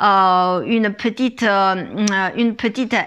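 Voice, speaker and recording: A woman speaks at a very slow pace in a bright, sharp tone with a Chinese accent. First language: Chinese (speaking French). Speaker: image consultant. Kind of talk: fashion haul video. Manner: halting, many fillers.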